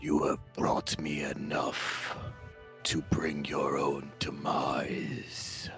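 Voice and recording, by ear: In a put-on character voice, a man speaks very slowly at an extremely low pitch with a fairly bright tone and monotone, flat intonation, faint music playing in the background.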